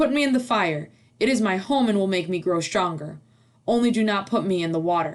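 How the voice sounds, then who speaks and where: A loud, growling, put-on character voice, female-sounding, at medium pitch for a woman and a fairly quick pace. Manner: boasting.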